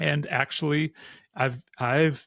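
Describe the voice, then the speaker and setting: A man with an American accent and ordinary pitch variation, dry and close with no echo, on a very clean recording with a silent background. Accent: sounds American. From Austria, with American mother. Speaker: podcast host. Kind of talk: interview podcast; scripted outro.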